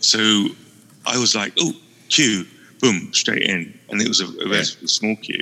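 A man with a British accent at a moderate pace, with long, frequent pauses. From UK. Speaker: guest co-host on a gaming podcast. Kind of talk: casual chat.

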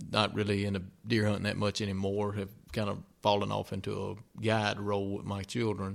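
In a Mississippi accent, a man talks at a fairly quick pace with fairly low pitch and monotone, flat intonation, on a very clean recording with a silent background. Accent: Southern US (Mississippi). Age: 40s. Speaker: podcast co-host. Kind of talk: casual chat.

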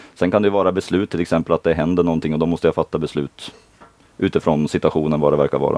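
A man speaks very fast in a very deep, low pitch, with fairly even intonation and very even loudness. The sound is dry and close, with no echo. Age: 30s. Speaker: dance competition official and maths teacher. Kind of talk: casual interview. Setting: in a caravan.

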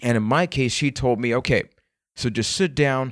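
In a very clean recording with a silent background and a dry, close sound with no echo, a man at medium pitch speaks at a moderate pace with fairly even intonation. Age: 20s. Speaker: podcast host and mental health speaker. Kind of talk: personal storytelling monologue.

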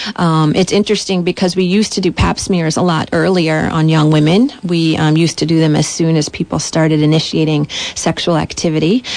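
With noticeable background noise behind it, the voice keeps a fairly even intonation and very even loudness, with hardly any pauses. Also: woman, fairly low pitch for a woman, fairly quick pace. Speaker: physician. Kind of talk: radio interview.

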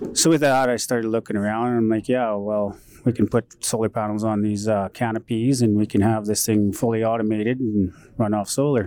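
The delivery moves at a fairly quick pace, with very even loudness and fairly even intonation. A dark, mellow tone comes through on a very clean recording with a silent background. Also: man, medium pitch for a man. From northern Alberta, Canada (Métis settlement). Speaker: entrepreneur and inventor, former welder. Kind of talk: interview. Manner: halting, with fillers.

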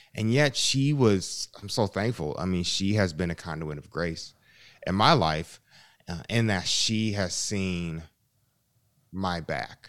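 A man with an American accent and a very deep, low pitch, at a very slow pace with lively intonation, on a very clean recording with a silent background. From US, Chicago. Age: 30s. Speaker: musician and theologian. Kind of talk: interview conversation.

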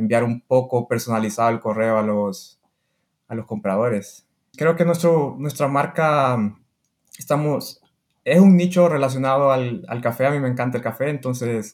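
The man's pitch sits at a medium level with ordinary variation. He speaks at a moderate pace. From Honduras. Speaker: online seller and biomedical engineer. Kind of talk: interview.

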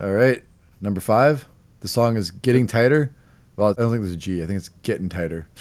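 A man with an unremarkable speaking voice, fairly low in pitch, ordinary pitch variation, fairly quick pace. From Canada. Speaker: podcast host. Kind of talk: casual chat about music. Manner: casual, laughs often.

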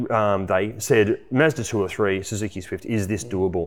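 A man talks at a moderate pace with an Australian accent. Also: very clean recording, silent background. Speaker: car reviewer and podcast host. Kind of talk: casual chat.

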